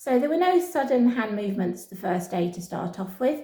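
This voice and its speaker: A woman with a British accent speaks in a dark, mellow, somewhat breathy tone at a moderate pace. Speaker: pet rabbit vlogger. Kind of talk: casual vlog talking to camera and pet rabbit. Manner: switches between camera voice and soft pet-talk voice.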